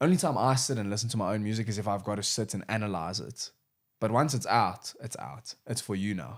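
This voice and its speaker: On a very clean recording with a silent background, a man speaks at a fairly quick pace in a fairly low pitch with ordinary pitch variation. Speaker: rapper and music producer. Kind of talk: casual chat.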